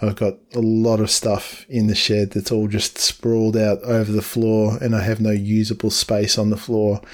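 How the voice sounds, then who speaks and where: An Australian-accented man's fairly low, monotone voice at a moderate pace, very even in loudness with hardly any pauses, on a very clean recording with a silent background. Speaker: podcast host. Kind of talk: casual conversation.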